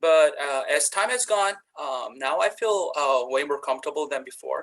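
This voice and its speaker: A man speaks with a Korean accent. His pace is fairly quick. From South Korea. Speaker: university instructor. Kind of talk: panel discussion. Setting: webinar video call. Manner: halting, many fillers.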